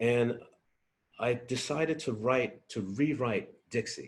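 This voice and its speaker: A man's voice, somewhat breathy and at a medium pitch, rises and falls with lively intonation. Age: 60s. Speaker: musician. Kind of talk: interview. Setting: video call. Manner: halting.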